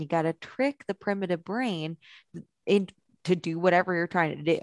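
Over a quiet background, a woman talks in an animated, playful tone. The sound is dry and close with no echo, and her pace is moderate. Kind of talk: game show host parody. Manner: animated, playful, excitable, with a bright showman's delivery.

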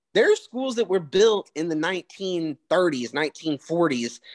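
Speaking with a Southern US accent, a man has a high-pitched voice. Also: dry, close sound with no echo. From US South. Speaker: podcast co-host. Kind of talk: casual chat.

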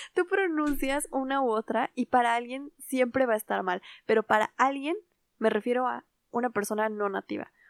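Her voice high in pitch with ordinary variation, a woman is recorded with a dry, close sound and no echo. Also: moderate pace. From Latin America, Spanish-speaking country. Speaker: podcast co-host. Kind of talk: casual chat.

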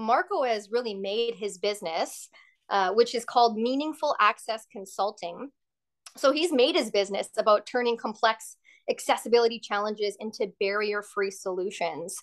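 The speaker has a western Canadian accent and a moderate pace with ordinary pitch variation. The background is quiet. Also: woman, fairly high pitch for a woman. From western Canada. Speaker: hotel customer service worker and former actress. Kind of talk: interview.

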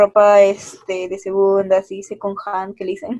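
A woman's voice, dark and mellow in tone, sounds dry and close with no echo. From Peru. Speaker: podcast co-host. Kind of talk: casual chat.

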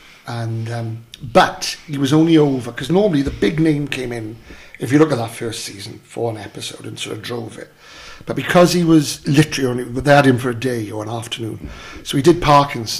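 A man at a medium pitch with a South Wales Valleys accent, fairly quick, with ordinary pitch variation, big swings in loudness and noticeable background noise. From Wales, south Wales valleys (Merthyr area). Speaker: actor. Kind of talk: casual chat.

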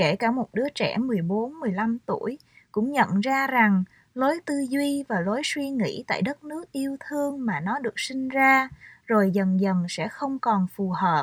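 In a very clean recording with a silent background and a dry, close sound with no echo, a woman speaks at a high pitch with lively intonation and a fairly slow pace. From Vietnam, Saigon. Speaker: author. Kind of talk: reading aloud.

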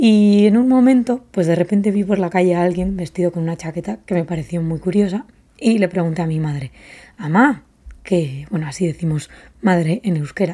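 With a dark, mellow tone and a fairly low pitch, a woman speaks at a moderate pace with lively intonation. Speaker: podcast host and fashion brand founder. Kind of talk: casual solo podcast monologue.

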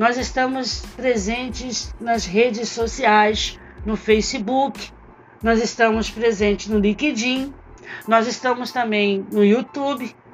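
A woman with a Brazilian accent speaks at a very slow pace over noticeable background noise. Her fairly high voice stays monotone and flat. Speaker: HR consultant and career mentor. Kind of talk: solo podcast talk.

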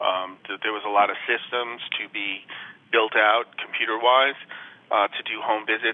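A man is heard over noticeable background noise. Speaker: Medicare insurance agent. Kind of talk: radio interview. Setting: phone call.

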